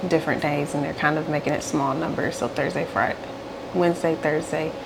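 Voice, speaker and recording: A woman with a very deep, low voice speaks amid noticeable background noise and audible room echo. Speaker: stay-at-home mom vlogger. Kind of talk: casual vlog chat.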